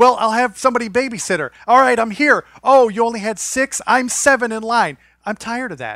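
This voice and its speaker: A man speaks in a raised, projected voice at an extremely high pitch, with a bright, sharp tone. His pace is fairly quick, and the sound is dry and close with no echo. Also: ordinary pitch variation. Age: 40s. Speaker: podcast host. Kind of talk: casual chat.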